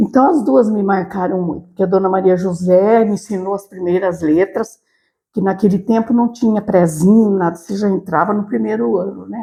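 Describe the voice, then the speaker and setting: A woman's medium-pitched voice, dark and mellow in tone, with ordinary pitch variation and a moderate pace. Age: 70s. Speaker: retired teacher and school director. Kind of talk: interview.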